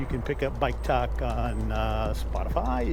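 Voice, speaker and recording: Noticeable background noise behind a man with an American accent. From Omaha, Nebraska, USA. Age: 60s. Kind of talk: casual talk to camera. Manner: conversational, with frequent filler words.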